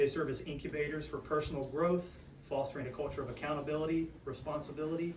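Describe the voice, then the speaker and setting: A man with a Southern US accent talks at a very fast pace in a fairly high voice. Noticeable background noise and audible room echo fill the recording. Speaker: addiction treatment nonprofit executive. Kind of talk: prepared public speech.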